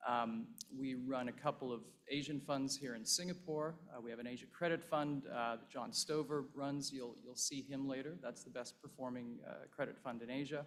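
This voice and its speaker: A plain, everyday voice belongs to this man, pitched fairly high. He keeps a moderate pace with ordinary pitch variation. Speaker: investment fund partner. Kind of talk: conference speech. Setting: stage with audience.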